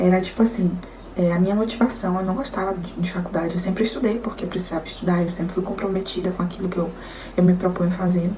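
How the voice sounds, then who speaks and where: At a very fast pace, a woman speaks at a medium pitch with fairly even intonation. The recording has audible room echo and noticeable background noise. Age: 20s. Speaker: nutritionist sharing illness story. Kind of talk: testimony. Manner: casual, conversational.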